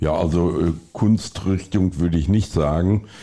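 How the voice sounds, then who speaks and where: Very deep and low in pitch, a man's voice has a dark, mellow tone. He speaks at a fairly slow pace with fairly even intonation. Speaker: gallery founder and painter. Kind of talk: casual interview.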